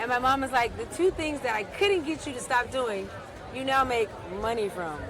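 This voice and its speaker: Amid crowd noise and audible room echo, a woman with a high pitch speaks at a moderate pace with very wide pitch swings. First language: Spanish. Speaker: gaming company founder. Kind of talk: casual interview. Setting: outdoors by the water.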